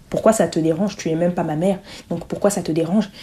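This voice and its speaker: A woman speaks with a fairly low pitch. Her intonation is fairly even. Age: 20s. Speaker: podcast host and entrepreneur. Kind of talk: solo podcast monologue. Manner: hesitant, many fillers.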